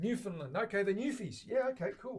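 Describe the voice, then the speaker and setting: Speaking rather briskly, a man talks with an Australian accent. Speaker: luthier streaming guitar builds. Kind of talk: casual chat with live stream viewers. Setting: live stream from workshop. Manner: relaxed, rambling with fillers.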